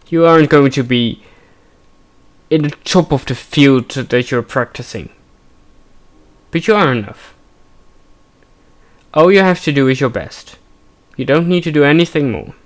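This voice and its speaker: Long, frequent pauses break up this man's speech. His pitch is fairly high, with ordinary variation, and his pace is moderate. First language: Dutch. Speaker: gaming streamer. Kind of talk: let's play commentary with personal reflection. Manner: halting.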